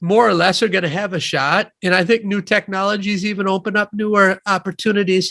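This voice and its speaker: Raised and projected, a man's high, bright, sharp voice with a Midwestern accent moves at a fairly quick pace with fairly even intonation, dry and close with no echo, on a very clean recording with a silent background. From US Midwest, Wisconsin (near Madison). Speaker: economist and author. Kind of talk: interview.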